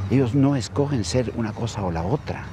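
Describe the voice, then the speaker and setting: Over noticeable background noise, a man talks at a fairly slow pace in a dry recording with no echo. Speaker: actor playing a wise older friend. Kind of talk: scripted drama dialogue. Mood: calm, earnest, persuasive. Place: garden.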